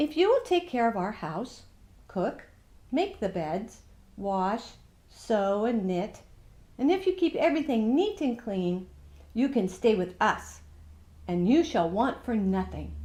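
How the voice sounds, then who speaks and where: Against a quiet background, a woman puts on a character voice at a fairly high pitch, speaking at a fairly slow pace with long, frequent pauses. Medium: read story.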